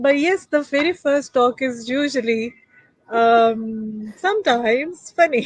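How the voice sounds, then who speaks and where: The woman has a high voice with ordinary pitch variation. She speaks at a very slow pace. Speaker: podcast host. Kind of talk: casual chat. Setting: live stream.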